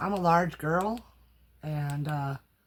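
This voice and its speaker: In a very clean recording with a silent background, a woman speaks very slowly in a somewhat breathy, very deep, low pitch with ordinary pitch variation. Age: 60s. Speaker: crafting YouTuber doing haul videos. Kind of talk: casual haul video talk. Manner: animated, exclamatory.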